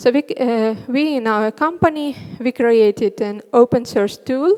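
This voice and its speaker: A woman's high pitch in a Russian accent, fairly slow pace and ordinary pitch variation over a quiet background. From Northern Russia. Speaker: front end developer; conference speaker. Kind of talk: conference talk. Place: stage. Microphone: headset.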